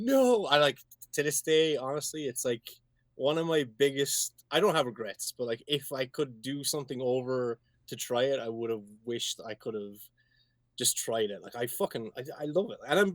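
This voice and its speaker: In a very clean recording with a silent background and a dry, close sound with no echo, a man with an Irish accent speaks at a moderate pace with a fairly high pitch and ordinary pitch variation. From Ireland. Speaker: singer-songwriter. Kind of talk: casual chat.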